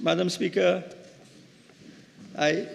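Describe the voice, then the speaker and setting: A man is speaking. Room echo can be heard. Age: 60s. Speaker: member of parliament, doctor. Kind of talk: parliamentary budget debate speech. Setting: parliament chamber. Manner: halting, many repeated words.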